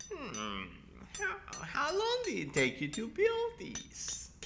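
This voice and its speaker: Someone speaks at a very slow pace in a put-on character voice. Background noise is clearly audible. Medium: audio drama. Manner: hesitant, polite, curious.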